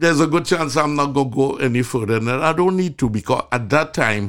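A man with a Trinidadian accent and fairly high pitch talks at a moderate pace on a very clean recording with a silent background. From Trinidad, rural. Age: 70s. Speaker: physician, medical show host. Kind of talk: casual chat.

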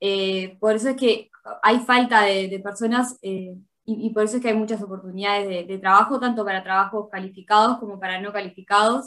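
A woman's bright, sharp voice at medium pitch, with a Uruguayan accent, fairly even intonation, big swings in loudness and a fairly quick pace. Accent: Rioplatense Spanish (Uruguayan). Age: 20s. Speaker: accountant. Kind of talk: interview. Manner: hesitant, many fillers and repetitions.

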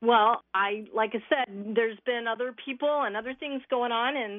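A woman with an unremarkable speaking voice, fairly high pitch and fairly even intonation at a moderate pace. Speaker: caller. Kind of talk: casual chat. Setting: phone call.

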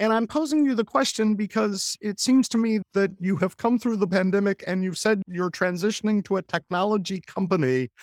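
On a very clean recording with a silent background and a dry, close sound with no echo, a man with a high pitch talks at a fairly quick pace with ordinary pitch variation and hardly any pauses. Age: 50s. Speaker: podcast host and former business lawyer. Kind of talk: interview conversation.

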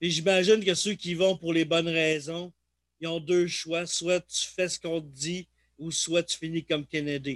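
A man speaks with a Quebec accent at a fairly slow pace and a high pitch. The sound is dry and close, with no echo. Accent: Québécois French. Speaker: podcast host. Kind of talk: casual chat.

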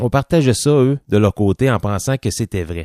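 A man speaks at a fairly slow pace in a dark, mellow tone with lively intonation, the sound dry and close with no echo on a very clean recording over a silent background. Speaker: podcast host. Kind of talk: show outro with supporter thanks; casual chat.

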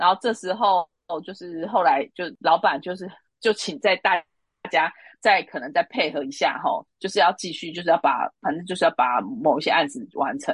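A woman with a Taiwanese accent and lively intonation at a moderate pace, in a dry, close sound with no echo over a quiet background. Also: medium pitch for a woman. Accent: Taiwanese Mandarin. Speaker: recruitment consultant. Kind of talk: interview.

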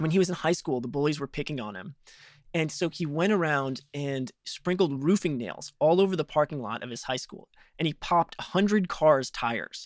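The recording is very clean with a silent background and a dry, close sound with no echo, as a man with an unremarkable speaking voice and fairly high pitch speaks at a moderate pace. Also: lively intonation. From Chicago, US Midwest. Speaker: journalist and podcast host. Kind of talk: interview conversation.

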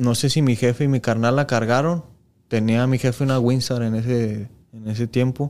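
A man uses an ordinary speaking voice at medium pitch. He keeps a moderate pace and fairly even intonation. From Mexico, Jalisco (Lagos de Moreno). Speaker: professional footballer. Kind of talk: casual interview chat.

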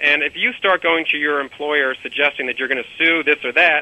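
With a plain, everyday voice, a man speaks at a fairly high pitch and a moderate pace, using ordinary pitch variation. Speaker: labor and employment lawyer. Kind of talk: interview discussion. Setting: remote interview by phone.

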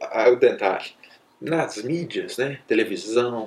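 A man speaks at a very slow pace. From Minas Gerais, Brazil (interior). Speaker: doctor. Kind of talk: casual storytelling talk. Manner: animated.

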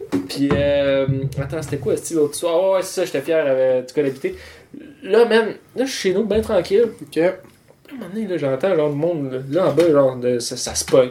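Lively intonation marks a man's fairly high, dark, mellow voice, delivered at a moderate pace in a Quebec accent. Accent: Québécois French. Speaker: podcast host. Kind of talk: casual chat. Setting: home studio.

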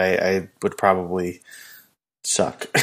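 Someone speaks in an American accent on a very clean recording with a silent background. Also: man. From Southern California. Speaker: podcast co-host. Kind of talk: casual chat.

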